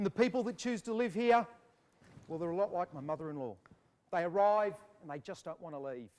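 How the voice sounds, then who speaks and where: A man's voice makes very wide pitch swings. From Australia (New South Wales). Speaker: auctioneer. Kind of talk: auctioneering competition, property auction call. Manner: fast, confident, showman-like patter.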